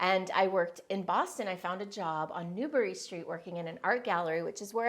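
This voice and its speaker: At a fairly quick pace, a woman speaks at a medium pitch with ordinary pitch variation in a very clean recording with a silent background. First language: Spanish. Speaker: business and personal development coach. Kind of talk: personal story told to camera.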